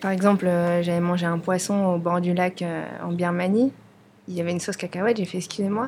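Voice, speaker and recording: Here is a woman with a plain, everyday voice, pitched fairly low. She keeps her intonation fairly even and talks at a fairly quick pace. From France, of Vietnamese parents. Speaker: restaurant owner. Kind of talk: casual interview conversation. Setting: studio, filmed podcast.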